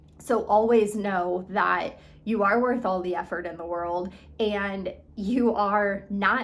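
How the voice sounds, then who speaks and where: A woman speaks at a very slow pace with a medium pitch. Her intonation is fairly even, and the room echo is audible. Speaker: eating disorder recovery coach. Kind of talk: motivational talk. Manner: casual, filler-heavy.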